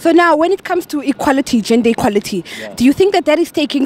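Talking at a very fast pace, a woman has an animated tone and very wide pitch swings, recorded with a dry sound and no echo. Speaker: street interviewer, show host. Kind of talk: vox pop street interviews. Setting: outdoors. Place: street. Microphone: handheld.

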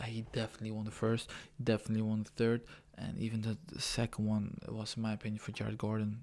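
A man talks quietly at a very fast pace, his pitch fairly low. His intonation is monotone and flat. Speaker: MMA fan reacting. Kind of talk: casual MMA fight reaction to camera. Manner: quiet, low voice. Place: home room. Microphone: webcam.

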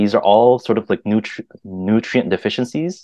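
In a dry recording with no echo and a quiet background, a man speaks at a fairly low pitch with fairly even intonation. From Vietnamese heritage. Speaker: mindfulness practitioner and UX designer; podcast guest. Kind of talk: casual chat. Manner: halting, many repeated words. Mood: reflective, earnest. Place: home room. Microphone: video call.

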